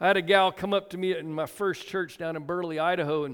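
A loud, high-pitched man at a very fast pace, with fairly even intonation. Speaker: pastor. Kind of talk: sermon. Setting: church.

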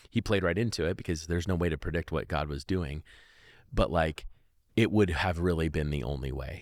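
In a very clean recording with a silent background, a man with an American accent talks at a fairly quick pace, his very deep, low pitch showing vocal fry and ordinary pitch variation. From Oregon, US. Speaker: faith testimony guest. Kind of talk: testimony. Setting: old church building.

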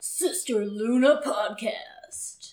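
A female-sounding voice puts on a character. Her pitch is high for a woman.

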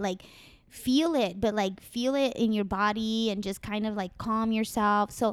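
The recording is very clean with a silent background, carrying an ordinary speaking voice that moves at a moderate pace and keeps fairly even intonation. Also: woman. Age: 30s. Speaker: marijuana industry worker. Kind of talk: casual chat. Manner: casual, profane.

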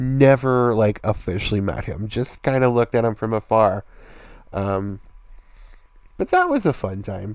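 With an American accent, a man speaks at a moderate pace and a fairly low pitch, with ordinary pitch variation. He takes long, frequent pauses. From US Midwest (rural Indiana). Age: 30s. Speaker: podcaster. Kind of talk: casual monologue. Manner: hesitant, many fillers.

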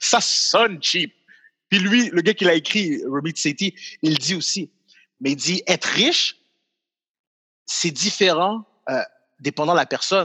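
At a very slow pace with long, frequent pauses, a man speaks in a high, bright, sharp tone. His intonation is lively, and the sound is dry and close with no echo. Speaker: comedian and video creator. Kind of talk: casual chat.

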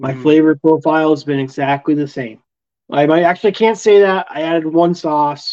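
A man with an American accent talks in a normal speaking voice at a fairly quick pace, with ordinary pitch variation over a quiet background. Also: fairly high pitch for a man. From Vermont, US (Castleton). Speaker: competition barbecue cook. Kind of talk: casual chat.

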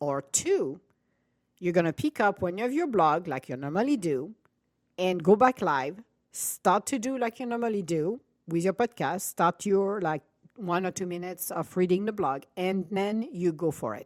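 With a non-native accent, the speaker uses very wide pitch swings and long, frequent pauses, in a dry, close sound with no echo. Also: woman. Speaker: podcast host. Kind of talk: casual chat. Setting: live stream.

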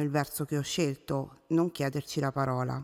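A woman's very deep, low voice in a flat monotone, on a very clean recording with a silent background. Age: 30s. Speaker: book blogger and podcaster. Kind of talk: solo monologue introducing podcast.

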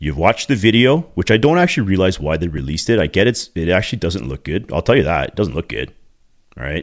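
Over a very clean recording with a silent background, a man with a Canadian accent talks in an animated tone at a very fast pace, his very deep, low voice showing vocal fry and very wide pitch swings. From Canada (Ontario, Scarborough). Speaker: podcast host, former police officer. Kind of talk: solo podcast monologue.

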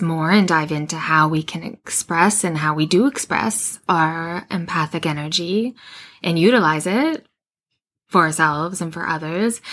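A woman with a slight Canadian accent, fairly low in pitch, with ordinary pitch variation and a fairly slow pace, in a very clean recording over a silent background. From Western Canada. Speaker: intuition podcast host. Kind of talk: solo monologue about intuition. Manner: warm conversational, informal.

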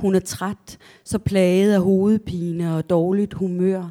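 A woman's dark, mellow tone at a fairly low pitch, with a very slow pace and monotone, flat intonation, in dry, close sound with no echo on a very clean recording with a silent background. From southern Jutland, Denmark (near Kolding). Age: 50s. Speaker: novelist. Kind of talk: author talk with readings from own novel. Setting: library event with live audience.

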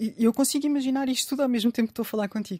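Recorded dry and close with no echo against a silent background in a very clean recording, a woman speaks with ordinary pitch variation. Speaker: writer. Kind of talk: interview.

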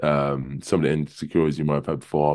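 With an extremely low pitch, little pitch movement and a slightly mellow tone, a man talks at a fast pace.

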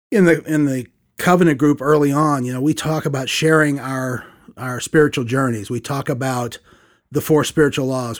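On a very clean recording with a silent background, a man with an American accent uses a normal speaking voice at a fairly high pitch with ordinary pitch variation. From US Midwest, Saint Louis. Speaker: church discipleship leader. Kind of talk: interview testimony.

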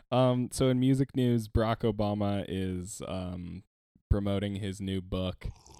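This is a man with a normal speaking voice, pitched fairly low. He talks at a fairly slow pace with fairly even intonation. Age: 20s. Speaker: podcast host. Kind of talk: casual chat.

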